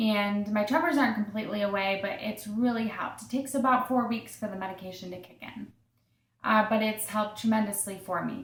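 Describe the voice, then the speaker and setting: In an American accent, a woman speaks at a fairly quick pace with a fairly high pitch and fairly even intonation. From Massachusetts. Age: 30s. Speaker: video blogger with Parkinson's disease. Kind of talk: personal testimony monologue. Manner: hesitant, many fillers.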